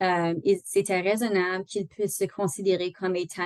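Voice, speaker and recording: In a dry, close recording with no echo, a woman talks at a moderate pace with a medium pitch. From Northern Ontario. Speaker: employment lawyer. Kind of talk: online training lecture. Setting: video call. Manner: halting, many fillers.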